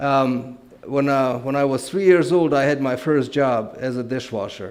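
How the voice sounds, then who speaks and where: Amid noticeable background noise and audible room echo, a man with a Romanian accent speaks at a moderate pace, medium pitch and ordinary pitch variation. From Transylvania, Romania. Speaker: guest speaker. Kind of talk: testimony.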